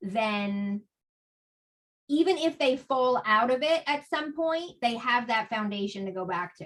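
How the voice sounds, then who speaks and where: Her high voice carries lively intonation as the woman talks at a fairly slow speed. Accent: New Jersey. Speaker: author and spiritual guest. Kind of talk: podcast interview.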